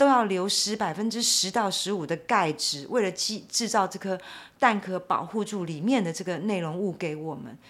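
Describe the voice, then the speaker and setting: A woman with an unremarkable speaking voice uses lively intonation while keeping a moderate pace. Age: 50s. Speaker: animal welfare advocate. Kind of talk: interview.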